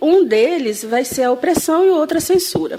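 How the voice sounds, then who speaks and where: A woman speaks with lively intonation. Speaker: history professor. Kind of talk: interview answer.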